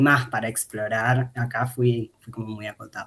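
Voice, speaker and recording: A man speaks with an Argentine accent. His delivery is fairly slow, monotone and flat. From Argentina, interior provinces. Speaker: academic researcher presenting thesis. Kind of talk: academic talk. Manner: hesitant, many fillers.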